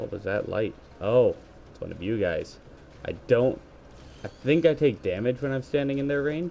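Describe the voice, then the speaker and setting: A man speaks at a moderate pace and medium pitch, with lively intonation. His loudness swings widely, and long pauses come often. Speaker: gaming youtuber. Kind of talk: gameplay commentary. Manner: casual, halting with fillers. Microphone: gaming headset, said to sound poor.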